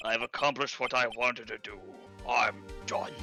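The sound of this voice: A man's put-on character voice at a medium pitch and a moderate pace, with clear music in the background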